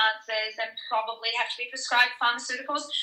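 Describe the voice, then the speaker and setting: A woman's fairly high, bright, sharp voice at a fairly quick pace. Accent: New Zealand. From New Zealand. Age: 30s. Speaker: fitness trainer and online coach. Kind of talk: podcast interview. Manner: casual, filler-heavy.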